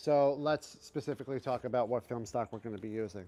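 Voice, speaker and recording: A man's ordinary speaking voice, medium in pitch, with ordinary pitch variation. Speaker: video creator, film photographer. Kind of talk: casual.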